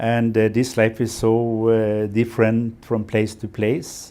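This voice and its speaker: A man with a Norwegian accent, medium pitch, a dark, mellow tone and fairly even intonation, on a very clean recording with a silent background. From Norway, west coast. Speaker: environmentalist and NGO founder. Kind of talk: interview. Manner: halting, many fillers.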